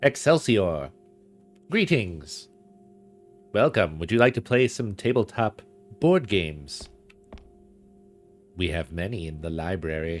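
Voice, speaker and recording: In a put-on character voice, a man speaks nasally at a very deep, low pitch and a fairly slow pace, leaving long, frequent pauses while music plays in the background. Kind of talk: dweeby. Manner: cheerful, welcoming.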